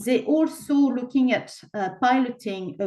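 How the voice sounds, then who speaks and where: This woman's intonation is lively. Her pace is moderate. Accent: French. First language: French. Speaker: equality and human rights presenter. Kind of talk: webinar presentation.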